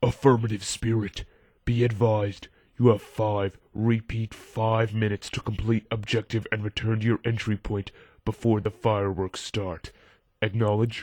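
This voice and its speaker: In a put-on character voice, a man talks at a moderate pace and medium pitch with monotone, flat intonation, on a very clean recording with a silent background. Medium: audio drama. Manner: crisp radio procedure.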